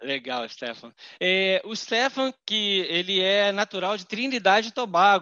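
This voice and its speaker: The voice moves at a fairly slow pace, with very wide pitch swings and big swings in loudness. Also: man, high pitch for a man. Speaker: podcast host, English teacher. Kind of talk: interview.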